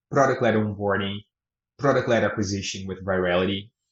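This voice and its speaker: A man talks in a somewhat breathy voice. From Brazil. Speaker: product director. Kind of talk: interview answers.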